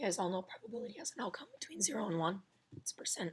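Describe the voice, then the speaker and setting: With lively intonation, a woman talks in a somewhat breathy, medium-pitched voice. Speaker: biology teacher. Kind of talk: lecture.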